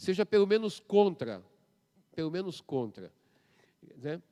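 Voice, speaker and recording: The sound is dry and close, with no echo. A man speaks in a dark, mellow tone with lively intonation. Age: 70s. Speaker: professor. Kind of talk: public debate. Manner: animated.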